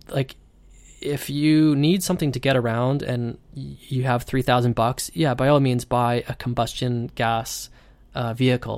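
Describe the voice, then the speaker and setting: In a very clean recording with a silent background, a man with a normal speaking voice and medium pitch talks at a fairly slow pace with fairly even intonation. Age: 30s. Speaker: podcast host. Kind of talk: solo monologue. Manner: rambling with many fillers.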